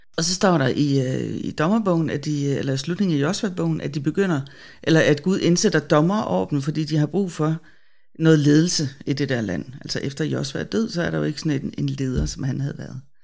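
On a very clean recording with a silent background, a woman with a very deep, low pitch and vocal fry speaks at a moderate pace with lively intonation. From Denmark, Bornholm. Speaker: theologian and web editor. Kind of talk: casual Bible discussion. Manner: hesitant, many fillers.

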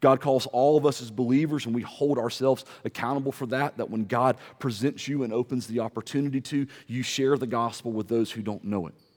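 An unremarkable speaking voice delivers the words at a fairly quick pace with fairly even intonation. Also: man, medium pitch for a man. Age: 40s. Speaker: pastor. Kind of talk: sermon. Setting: church.

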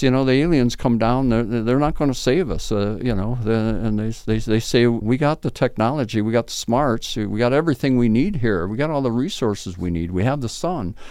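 A fairly quick, medium-pitched man with an American accent, dark and mellow in tone, with hardly any pauses. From southern Minnesota, US. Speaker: filmmaker and artist, former therapist. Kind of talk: casual interview. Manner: halting, many repetitions and fillers.

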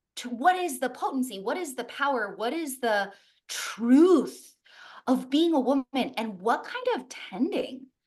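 A woman talks at a fairly slow pace in a high pitch with an animated tone. Her pitch swings very widely and her loudness shifts a great deal. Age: 30s. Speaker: wellness coach. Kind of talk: casual chat.

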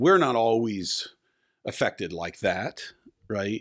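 With a plain, everyday voice, a man speaks at a fairly slow pace and fairly even intonation on a very clean recording with a silent background. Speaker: pastor. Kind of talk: casual chat.

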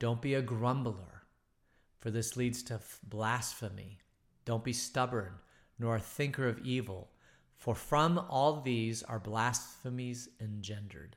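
This man's voice has a medium pitch with ordinary pitch variation, and he delivers his words at a fairly slow speed. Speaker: pastor. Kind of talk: bible teaching. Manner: animated.

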